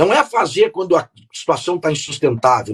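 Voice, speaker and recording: A man's voice makes very wide pitch swings in a dry, close sound with no echo. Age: 60s. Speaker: politician, gubernatorial candidate. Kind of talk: radio interview.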